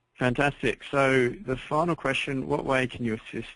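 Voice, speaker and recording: Talking fairly quickly, a man speaks with an Australian accent. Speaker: webinar host. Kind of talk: webinar Q&A moderation. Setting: webinar.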